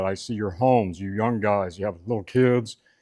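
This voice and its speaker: Fairly low male voice, ordinary pitch variation and a moderate pace, captured very cleanly against total silence. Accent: Southern US. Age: 70s. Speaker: welding instructor and video blogger. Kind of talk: personal testimony. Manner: conversational with hesitations.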